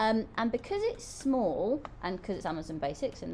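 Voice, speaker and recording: With an English accent, a woman speaks in a dark, mellow tone at a fairly high pitch. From England. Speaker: product reviewer on a livestream. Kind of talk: live product review stream. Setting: live stream. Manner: animated.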